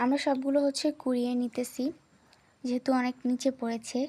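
A woman's high-pitched voice with a dark, mellow tone and flat, monotone intonation. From Bangladesh, Noakhali. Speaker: vlogger. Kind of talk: vlog narration. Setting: at home, rooftop garden.

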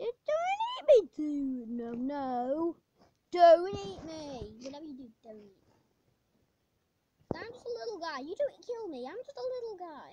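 A woman's extremely high voice with a dark, mellow tone, very wide pitch swings, big swings in loudness, a fairly slow pace and long, frequent pauses. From England. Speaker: gamer. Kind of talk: gameplay commentary. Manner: animated.

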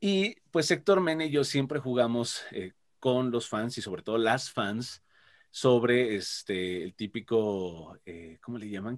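A man with a medium pitch speaks at a fairly slow pace, his intonation lively. His loudness swings widely against a quiet background. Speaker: voice actor; voice actor guest. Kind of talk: interview. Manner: animated. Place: home room. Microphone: video call.

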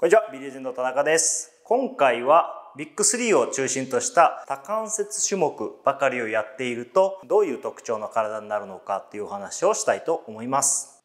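Hardly pausing at all, a man talks at a moderate pace. His loudness swings widely. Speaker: personal trainer. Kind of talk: tutorial. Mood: friendly, animated explaining. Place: gym. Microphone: lapel.

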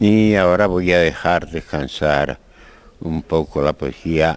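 A man talks at a very slow pace. His pitch variation is ordinary. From Spain. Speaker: poet. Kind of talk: interview answer. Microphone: handheld.

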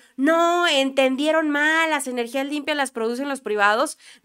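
A woman projects a raised voice with a bright, sharp tone and lively intonation. She speaks at a fairly slow pace over a quiet background. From Mexico. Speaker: political commentary youtuber. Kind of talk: political news commentary. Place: studio. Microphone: studio mic.

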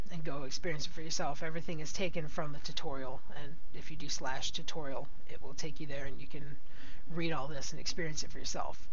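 Over light background noise, a man talks at a fairly quick pace in a monotone, flat intonation. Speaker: video game podcast host. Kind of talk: casual podcast talk. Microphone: headset.

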